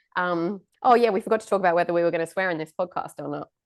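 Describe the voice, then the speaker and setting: A woman with an Australian accent talks at a very fast pace in a fairly low pitch with ordinary pitch variation against a quiet background. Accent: Australian-tinged. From England. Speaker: podcast host, nutritionist. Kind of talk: casual chat.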